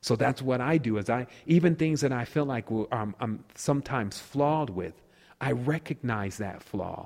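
This man speaks in a normal speaking voice at a moderate pace. His pitch is medium, with ordinary pitch variation. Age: 30s. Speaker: spiritual speaker. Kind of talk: casual interview.

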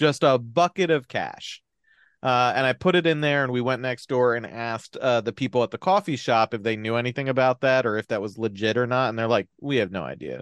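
A man talks at a fairly quick pace in a plain, everyday voice of medium pitch and ordinary pitch variation, the sound dry and close with no echo. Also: quiet background. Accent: American. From New Jersey. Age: 30s. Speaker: podcast host. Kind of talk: casual chat.

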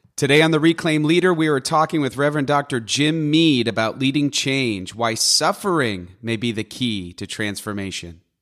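A man with a plain, everyday voice speaks at a moderate pace, his fairly high pitch carried by lively intonation on a very clean recording with a silent background. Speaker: podcast host. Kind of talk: casual podcast conversation.

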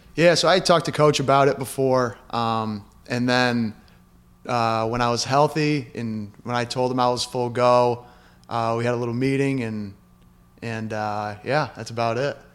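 A plain, everyday voice from a man, moderate in pace, medium in pitch, with fairly even intonation. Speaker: college basketball player. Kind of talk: interview.

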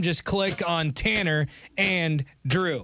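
A man speaks in a raised, projected voice. Music plays in the background. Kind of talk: radio dj patter.

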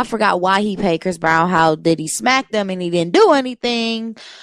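An unremarkable speaking voice from a woman at medium pitch, with ordinary pitch variation, on a very clean recording with a silent background. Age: 20s. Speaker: radio show co-host. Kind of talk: casual chat.

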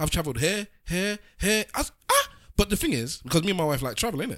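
The voice has an animated tone and vocal fry, captured on a very clean recording with a silent background. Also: man. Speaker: podcast co-host. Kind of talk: casual chat.

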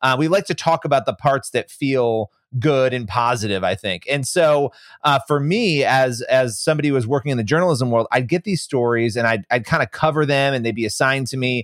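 A man's medium-pitched voice, an ordinary speaking voice with ordinary pitch variation, in a dry, close sound with no echo. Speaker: author and investigative journalist. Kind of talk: casual interview chat.

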